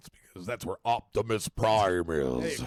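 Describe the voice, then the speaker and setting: Putting on a character voice, a man speaks fairly low at a moderate pace. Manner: heroic.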